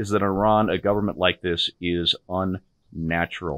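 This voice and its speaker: Against a quiet background, a man with a very deep, low pitch and ordinary pitch variation is heard in a dry sound with no echo. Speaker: co-host, political commentator. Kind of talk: angry rant. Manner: fiery, sarcastic, indignant, raised-voice. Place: home room. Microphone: video call.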